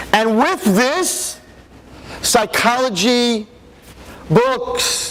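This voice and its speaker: Noticeable background noise sits behind a man with an extremely high pitch. His tone is animated and his intonation lively. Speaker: rabbi and educator giving a parenting talk. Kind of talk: public lecture. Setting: ballroom event with audience. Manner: animated, rhetorical questioning.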